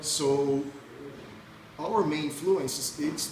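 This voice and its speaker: A Brazilian accent with ordinary pitch variation, amid audible room echo and noticeable background noise. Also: man. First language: Portuguese. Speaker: punk rock musician. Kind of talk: interview. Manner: halting.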